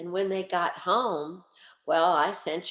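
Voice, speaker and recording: In a New Orleans accent, a woman speaks at a fairly slow pace. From New Orleans, Louisiana. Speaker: radio host and cookbook author. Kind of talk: storytelling. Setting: video call.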